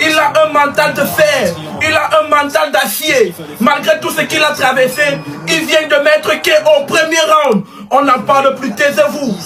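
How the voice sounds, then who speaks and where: A man speaks at a fairly slow pace in a raised, projected voice pitched extremely high, with ordinary pitch variation and music playing in the background. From Cameroon. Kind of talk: fan reaction video.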